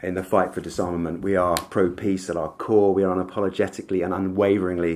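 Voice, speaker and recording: A man's very deep, low voice at a very fast pace, monotone and flat, with light background noise. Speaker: speaker. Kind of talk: conference speech. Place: hall. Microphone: podium.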